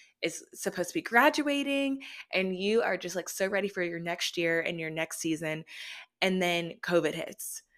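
Using an ordinary speaking voice, a woman talks at a moderate pace with medium pitch and lively intonation. The recording is very clean, with a silent background. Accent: American. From Austin, Texas. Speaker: podcast host. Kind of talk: casual chat.

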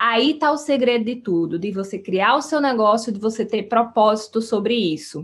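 Using an ordinary speaking voice, a woman speaks at a moderate pace and fairly high pitch with lively intonation and hardly any pauses. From Brazilian Northeast, sertão of Paraíba. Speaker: podcast host, entrepreneurship coach. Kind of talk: solo podcast monologue. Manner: warm, conversational.

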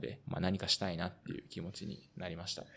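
Moving at a fairly quick pace, a man speaks with a very deep, low pitch. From Osaka, Japan. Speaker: amateur footballer and podcast host. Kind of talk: casual podcast chat.

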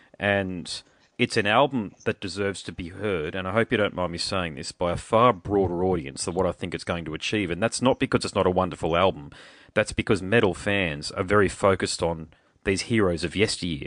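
An Australian-accented man with a very deep, low pitch, ordinary pitch variation and a fairly quick pace against a quiet background. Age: 40s. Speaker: podcast host. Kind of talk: casual chat. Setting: phone call.

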